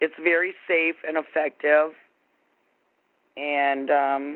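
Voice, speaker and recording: A very slow pace with long, frequent pauses. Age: 60s. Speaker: prank call target. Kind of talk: casual phone conversation. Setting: phone call.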